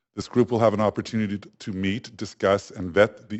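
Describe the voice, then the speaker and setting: This man talks at a fairly quick pace. His pitch is fairly low and his intonation fairly even. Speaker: public speaker at council meeting. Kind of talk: public comment to council. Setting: council chamber podium. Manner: formal.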